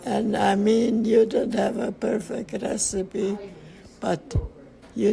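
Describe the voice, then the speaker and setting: A woman's fairly high voice comes through with noticeable background noise around it. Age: 80s+. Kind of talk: interview answer.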